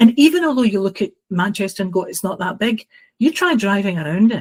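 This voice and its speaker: A woman with a Glasgow accent talks at a fairly quick pace in a somewhat breathy, medium-pitched voice with lively intonation. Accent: Scottish (Glasgow). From Scotland, Glasgow. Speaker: housing training consultant. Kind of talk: podcast interview. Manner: hesitant fillers.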